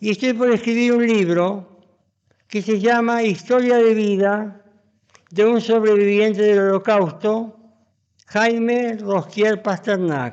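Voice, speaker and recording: This man's pitch is high for a man, and his intonation stays fairly even. He speaks at a very slow pace. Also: very even loudness. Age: 80s+. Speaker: physician. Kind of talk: interview. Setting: museum. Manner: talkative.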